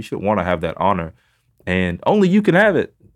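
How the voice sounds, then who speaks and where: A man talks with a Texan accent. His pace is very fast. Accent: Texan Southern US. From Northeast Texas, small town Mount Vernon. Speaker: pastor and foster father. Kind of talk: testimony. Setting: studio.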